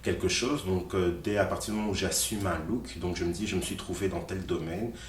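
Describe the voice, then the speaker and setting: A man with a very deep, low pitch speaks at a fairly quick pace with ordinary pitch variation. Audible room echo and noticeable background noise surround him. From Belgium, raised from age six; born in Congo. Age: 30s. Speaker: activist. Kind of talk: interview. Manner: hesitant, many fillers.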